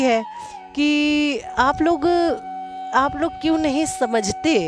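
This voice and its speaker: Behind the voice, music is playing. A woman talks with a high pitch. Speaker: spiritual guide. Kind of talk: spiritual talk to viewers.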